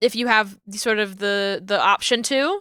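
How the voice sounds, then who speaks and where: A New Jersey accent in a bright, sharp tone, fairly slow with ordinary pitch variation, dry, close sound with no echo on a very clean recording with a silent background. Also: woman. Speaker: streamer and model rigger. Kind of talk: casual livestream chat while working. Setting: livestream. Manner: hesitant, filler-heavy.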